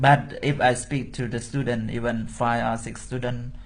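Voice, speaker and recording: Vocal fry in a Cambodian accent, a fairly slow pace, and audible room echo. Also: man. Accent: Cambodian (Khmer) English. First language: Khmer. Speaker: Buddhist monk and teacher. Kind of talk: interview.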